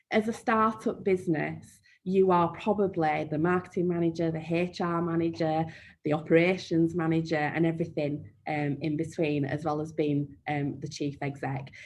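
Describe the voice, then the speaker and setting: Speaking at a moderate pace with a Yorkshire accent, a woman keeps her fairly low pitch on fairly even intonation. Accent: broad Yorkshire. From Yorkshire, northern England. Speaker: marketing trainer. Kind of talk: webinar Q&A. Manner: frequent um fillers.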